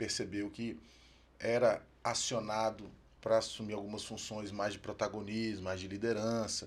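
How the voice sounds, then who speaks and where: His fairly low-pitched voice moves at a fairly slow pace, the man's intonation monotone and flat. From Brazil, Federal District (Brasília). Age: 40s. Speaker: firefighter and former regional administrator. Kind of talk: podcast interview.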